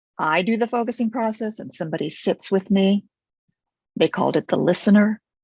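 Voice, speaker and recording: A somewhat breathy woman's voice at medium pitch, a fairly quick pace and ordinary pitch variation. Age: 70s. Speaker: focusing teacher, method developer. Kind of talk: interview.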